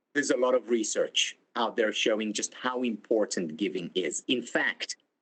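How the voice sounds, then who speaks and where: Here a man talks with an Israeli accent. He keeps a moderate pace. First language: Hebrew. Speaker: psychology lecturer. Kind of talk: keynote talk. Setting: conference.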